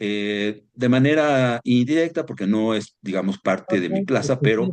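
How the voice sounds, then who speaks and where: At a fairly slow pace, a normal speaking voice moves with lively intonation. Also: man, medium pitch for a man. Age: 60s. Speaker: environmental consultant and instructor. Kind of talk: online seminar lecture. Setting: live stream.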